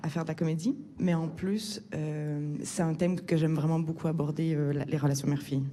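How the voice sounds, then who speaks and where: A woman speaks at a moderate pace with a very deep, low pitch and ordinary pitch variation, over noticeable background noise. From Quebec. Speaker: film director. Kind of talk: interview. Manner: hesitant, many fillers.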